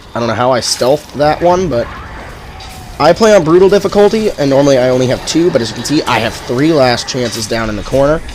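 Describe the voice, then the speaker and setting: A man at a very fast pace with lively intonation over noticeable background noise. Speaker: gaming tutorial creator. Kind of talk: casual gameplay commentary. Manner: stuttering, hesitant; loud.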